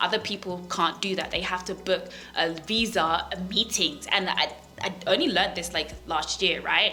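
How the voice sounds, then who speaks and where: Over noticeable background noise, a woman with a medium-pitched voice talks at a moderate pace with fairly even intonation. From London, England. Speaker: finance content creator. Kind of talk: vlog monologue. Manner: casual, many fillers.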